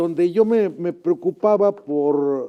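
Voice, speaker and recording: The voice is a man's, dark and mellow in tone. Its intonation is lively. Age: 70s. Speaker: retired teacher and author. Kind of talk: interview. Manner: halting, many fillers.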